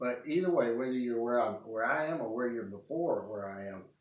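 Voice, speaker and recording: Speaking with an East Texas accent, a man talks at a fairly quick pace and a medium pitch. His pitch varies in an ordinary way, and room echo is audible. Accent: East Texas Southern US. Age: 60s. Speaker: video blogger. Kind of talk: personal testimony monologue. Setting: at home, living room. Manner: halting, many false starts.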